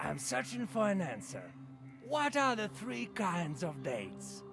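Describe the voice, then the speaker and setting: Putting on a character voice, a man speaks at a fairly slow pace with music clearly playing in the background. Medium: video game. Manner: talkative, casual.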